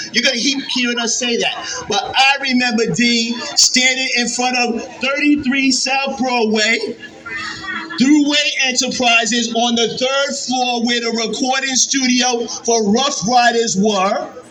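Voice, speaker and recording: Over music in the background and audible room echo, a man with a New York accent projects a raised voice at an extremely high pitch, speaking at a fairly slow pace with fairly even intonation. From Yonkers, New York. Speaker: county executive. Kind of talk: public speech.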